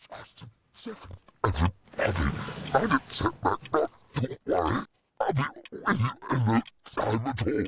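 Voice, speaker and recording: This is a put-on character voice at a moderate pace. Long pauses come often. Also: man, medium pitch for a man. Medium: short film.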